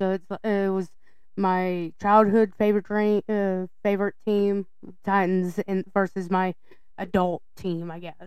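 In a Southern US accent, a woman at medium pitch speaks fairly slowly with monotone, flat intonation. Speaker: podcast co-host.

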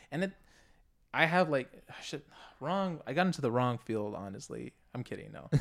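A man with an American accent and a fairly high pitch, lively intonation and big swings in loudness, at a moderate pace with long, frequent pauses, on a very clean recording with a silent background. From southern Arizona (Rio Rico). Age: 20s. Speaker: rapper. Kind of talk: casual chat.

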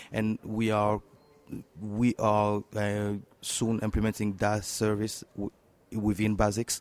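A man with a French accent, fairly low in pitch, at a very slow pace with monotone, flat intonation and long, frequent pauses. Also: dry, close sound with no echo. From Democratic Republic of the Congo. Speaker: tech entrepreneur and software developer. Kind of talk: interview. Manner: halting, hesitant with many fillers.

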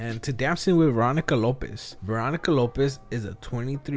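This man speaks with a Spanish accent at a medium pitch. His pace is fairly quick. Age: 30s. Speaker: podcast host. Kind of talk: casual interview chat. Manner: self-conscious about speech, halting.

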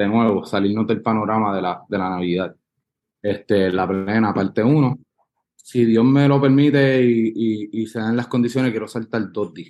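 A man talks at a moderate pace and medium pitch, with ordinary pitch variation. He has an ordinary speaking voice. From Puerto Rico. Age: 30s. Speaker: musician. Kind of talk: casual interview.

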